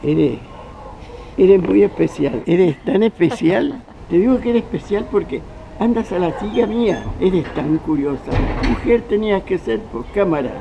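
Against noticeable background noise, a man with a Chilean accent talks fairly slowly in a high voice with very wide pitch swings. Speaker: actor and journalist. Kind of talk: interview answer. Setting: outdoors. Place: street.

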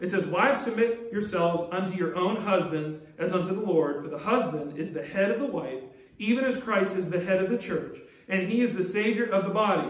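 Pitched high, a man talks at a fairly quick pace with ordinary pitch variation in a room with audible echo. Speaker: pastor. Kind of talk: sermon. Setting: church. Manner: earnest, urgent preaching; direct, exhorting the congregation. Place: church. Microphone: podium.

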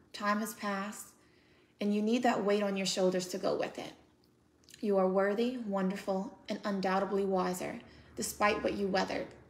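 A woman with an American accent, monotone and flat in intonation, at a moderate pace with long, frequent pauses. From United States. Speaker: author and speaker. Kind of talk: poetry reading from her own book. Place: home room. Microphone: phone near.

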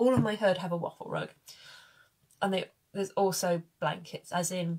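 A woman speaks at a moderate pace, somewhat breathy. Her intonation is fairly even over a quiet background. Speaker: horse owner vlogger. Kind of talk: casual vlog chat. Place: home room. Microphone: phone near.

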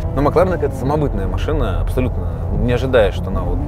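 A man talks at a very fast pace over clear background music, the sound dry with no echo. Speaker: car blogger driving. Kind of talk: casual vlog chat. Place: car.

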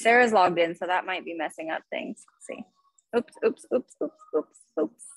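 A woman at a moderate pace, with big swings in loudness and very wide pitch swings, over a quiet background. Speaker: fitness instructor. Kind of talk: casual talk to class before starting. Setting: video call. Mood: light, self-deprecating. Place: gym. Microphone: video call.

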